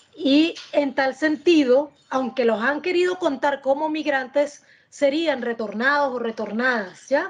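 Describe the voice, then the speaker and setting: A woman with a high voice speaks fairly slowly with hardly any pauses and ordinary pitch variation. Her loudness stays very even over noticeable background noise. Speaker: political analyst. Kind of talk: panel discussion.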